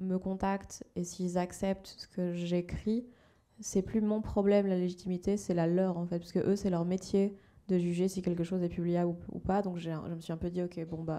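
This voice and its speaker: At a moderate pace and medium pitch, a woman speaks with a dark, mellow tone and monotone, flat intonation. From Belgium. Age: 20s. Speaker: novelist. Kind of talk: panel discussion. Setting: book fair talk with audience. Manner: casual, hesitant.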